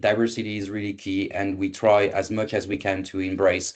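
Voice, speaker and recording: A man with a French accent talks at a fairly quick pace and fairly low pitch. His intonation is monotone and flat against a quiet background. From France. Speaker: event moderator for a recruitment agency. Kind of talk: online presentation. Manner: halting with many fillers.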